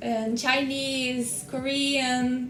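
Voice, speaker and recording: Noticeable background noise sits behind a woman with a Brazilian Portuguese accent. She speaks very slowly in a high pitch, her intonation fairly even. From Minas Gerais, Brazil. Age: young. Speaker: skincare specialist. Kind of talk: interview answer. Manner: warm, friendly.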